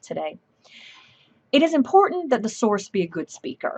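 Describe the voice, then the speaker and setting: A woman talks in a Southern US accent. The sound is dry and close, with no echo. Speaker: professor. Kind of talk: lecture. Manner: fast.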